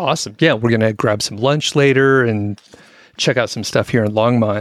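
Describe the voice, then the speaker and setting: A man with a normal speaking voice talks at a fairly quick pace, medium in pitch with ordinary variation, in a very clean recording with a silent background. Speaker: podcast co-host. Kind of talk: casual chat. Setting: studio.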